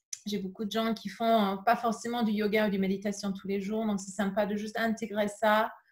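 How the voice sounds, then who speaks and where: Speaking at a moderate pace, a woman's voice comes across somewhat breathy at a medium pitch. Her intonation stays monotone and flat. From England. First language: English (speaking French). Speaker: yoga teacher. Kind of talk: casual interview. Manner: halting, many fillers.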